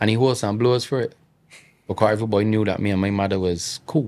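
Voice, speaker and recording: The speaker has a strong Bajan accent. The recording is very clean, with a silent background. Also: man. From Barbados. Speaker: entrepreneur. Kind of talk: casual chat.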